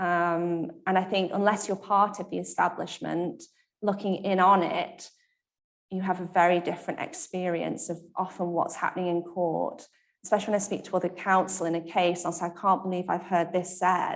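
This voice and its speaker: A woman's medium-pitched voice, moderate pace, monotone, flat intonation. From Leek, Staffordshire, English Midlands. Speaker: barrister. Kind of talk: panel conversation. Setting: live event with audience, also webcast.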